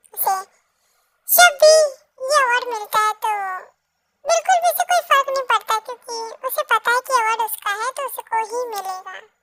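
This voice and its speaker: Speaking at a moderate pace with long, frequent pauses, a woman uses an extremely high pitch, recorded dry and close with no echo. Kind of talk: fan fiction storytelling. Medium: read story. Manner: chatty, informal, mixing English words.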